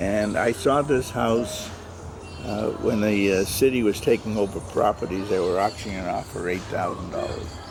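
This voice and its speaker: With music in the background, a man in a Boston accent speaks at a fairly low pitch and moderate pace with ordinary pitch variation. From US Northeast, Boston. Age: 80s+. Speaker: family elder giving tour. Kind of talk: casual chat. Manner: halting.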